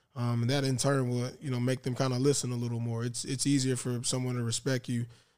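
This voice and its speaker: Very fast in pace, a man speaks at medium pitch. His intonation is monotone and flat. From Tallahassee, Florida. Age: 30s. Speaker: former pro football player. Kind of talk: interview. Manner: hesitant, many fillers.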